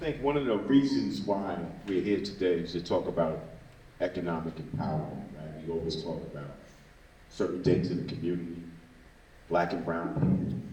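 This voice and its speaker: A man's voice with lively intonation at a moderate pace, with audible room echo. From Brooklyn, New York (Bed-Stuy). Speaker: activist, founder of an organization. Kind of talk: public talk.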